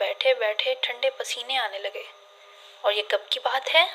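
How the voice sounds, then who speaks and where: A woman's high-pitched, raised, projected voice over noticeable background noise. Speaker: voice over artist. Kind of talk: audiobook novel reading.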